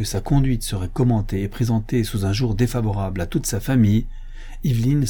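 In a natural voice, someone reads a text aloud.

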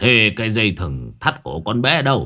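Man's put-on character voice, bright and sharp in tone, at a moderate pace with big pitch swings, on a very clean recording with a silent background. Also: fairly low pitch for a man.

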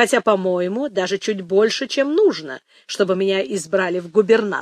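A passage is read out in a natural voice.

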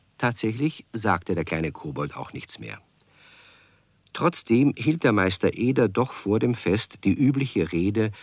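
Lively intonation marks this man's speech. He talks at a fairly slow pace.

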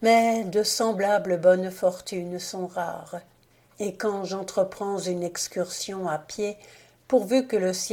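The clip features an unforced reading voice.

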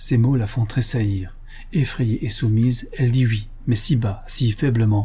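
The speaker reads in a natural reading voice with fairly even intonation.

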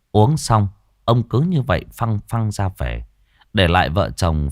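Reading aloud, plain

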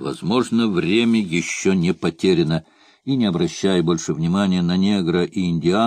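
Using a natural reading voice, the speaker brings lively intonation.

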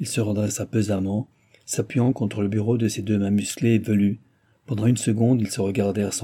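Natural voice, reading aloud

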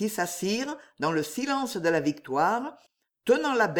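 Lively intonation in an unforced reading voice, the background quiet

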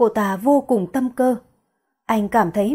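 In quiet surroundings, someone reads in an unforced voice whose pitch varies in an ordinary way.

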